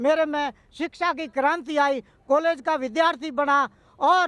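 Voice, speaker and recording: The recording is dry and close with no echo. A man speaks with a bright, sharp tone at an extremely high pitch. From Rajasthan, Barmer desert region. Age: 60s. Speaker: activist. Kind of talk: interview. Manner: halting.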